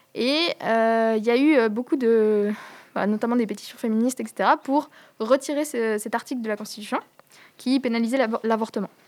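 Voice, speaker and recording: Speaking at a moderate pace with long, frequent pauses, a woman uses fairly high pitch and fairly even intonation. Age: 20s. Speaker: climate activist. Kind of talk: interview. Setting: rooftop outdoors. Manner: halting.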